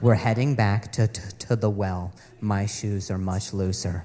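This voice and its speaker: Noticeable background noise sits behind a man with a fairly low pitch. He speaks at a fairly slow pace with fairly even intonation. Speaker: stand-up comedian. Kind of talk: stand-up.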